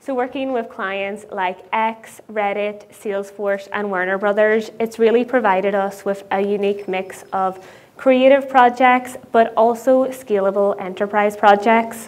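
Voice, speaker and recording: A woman talks at a fairly slow pace. Her intonation stays fairly even. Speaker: conference speaker. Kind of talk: conference talk. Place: stage. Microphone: lapel.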